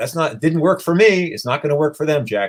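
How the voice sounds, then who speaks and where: This man talks at a fairly quick pace and sounds somewhat breathy. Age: 60s. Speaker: animal rights activist. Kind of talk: interview.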